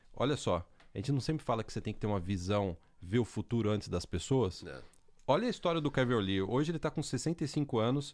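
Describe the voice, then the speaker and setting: A man talks at a very fast clip. His intonation is lively. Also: medium pitch for a man, very clean recording, silent background. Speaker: podcast host. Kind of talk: casual chat.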